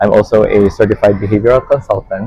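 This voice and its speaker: A man speaks with a Filipino accent. Noticeable background noise runs behind him. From Philippines, Chinese Filipino. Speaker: life coach. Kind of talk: interview.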